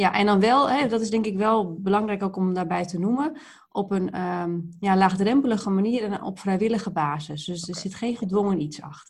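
Somewhat breathy and at a medium pitch, a woman speaks at a fairly quick pace with hardly any pauses and ordinary pitch variation. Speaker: project leader. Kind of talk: interview. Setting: video call.

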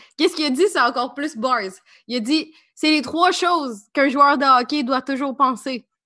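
Against a quiet background, a woman with a Quebec accent projects her high-pitched voice in an animated tone at a moderate pace. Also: ordinary pitch variation. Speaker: podcast co-host. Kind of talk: casual chat.

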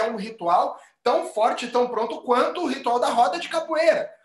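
A man talks at a moderate pace with an extremely high pitch. His pitch swings very widely. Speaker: capoeira teacher. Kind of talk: casual chat. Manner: forceful, argumentative-sounding.

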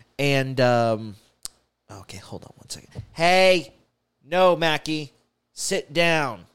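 A man's very slow delivery, lively in intonation, broken by long, frequent pauses. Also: fairly high pitch for a man. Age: 20s. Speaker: podcast host. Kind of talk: casual monologue. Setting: home studio. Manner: halting, many fillers and repeats. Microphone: new studio, wearing headphones.

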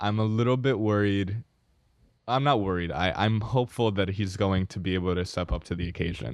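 This man's voice sits fairly low and shifts in pitch by an ordinary amount. It is an unremarkable speaking voice. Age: 20s. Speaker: podcast co-host. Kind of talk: casual chat. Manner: many fillers (um, uh).

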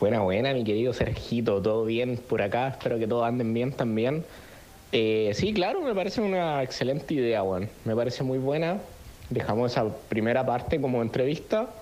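A man speaks at a medium pitch and a fairly quick pace, with ordinary pitch variation and very even loudness. The room echo is audible, and background noise is noticeable. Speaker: podcast co-host. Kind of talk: casual chat.

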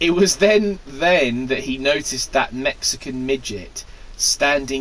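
The reading aloud is plain, though its intonation moves in a lively way.

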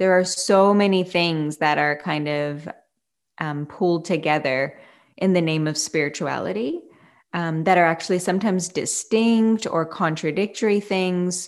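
Heard in a very clean recording with a silent background, a woman uses a plain, everyday voice at a fairly low pitch with ordinary pitch variation. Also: moderate pace. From Canada. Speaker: yoga teacher. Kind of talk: interview conversation.

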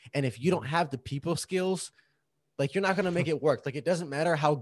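A man talks at a fairly high pitch with ordinary rises and falls, using an unremarkable speaking voice, and the very clean recording has a silent background. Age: 30s. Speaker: podcast co-host, actor and video director. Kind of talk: casual chat.

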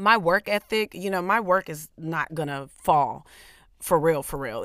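A woman speaks in a fairly low, raspy voice with an energetic, enthusiastic tone and ordinary pitch variation. The recording is very clean, with a silent background. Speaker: podcast host; comedian.

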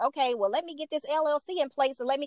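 With an American accent, a woman projects a raised, high-pitched voice in a bright, sharp tone at a fairly quick pace. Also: dry, close sound with no echo. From Chicago, West Side. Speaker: makeup artist and networking group founder. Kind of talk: casual interview chat.

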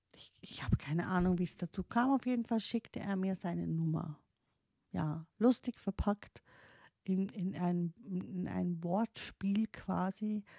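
A woman with a non-native accent speaks at a fairly slow pace and medium pitch, her somewhat breathy voice dark and mellow in tone, with ordinary pitch variation and big swings in loudness, on a very clean, dry and close recording with no echo and a silent background. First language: not German (speaking German). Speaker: podcaster, life coach in training. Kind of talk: personal monologue. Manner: halting, many fillers and restarts.

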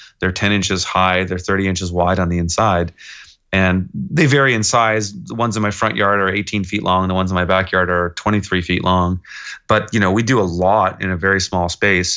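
Against a quiet background, a man with a western Canadian accent speaks at a fairly quick pace in a very deep, low voice, his tone bright and sharp and his intonation fairly even. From Kelowna, British Columbia, Canada. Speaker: urban farmer. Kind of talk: casual interview.

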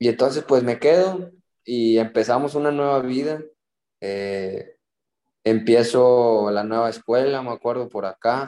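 A man's dark, mellow tone at medium pitch, at a fairly slow pace with ordinary pitch variation. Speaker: youth footballer. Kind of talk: casual chat.

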